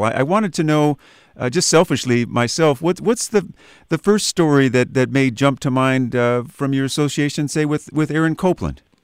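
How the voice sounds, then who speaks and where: A man talks in a normal speaking voice at a fairly quick pace with lively intonation. The sound is dry and close with no echo, on a very clean recording with a silent background. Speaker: radio interviewer. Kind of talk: interview questions.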